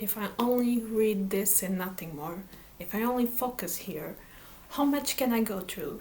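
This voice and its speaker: A woman with a Portuguese accent speaks at a fairly slow pace in a fairly high voice, with ordinary pitch variation. Noticeable noise runs in the background. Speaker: book vlogger. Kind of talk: casual vlog talk. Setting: home in front of bookshelves. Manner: halting.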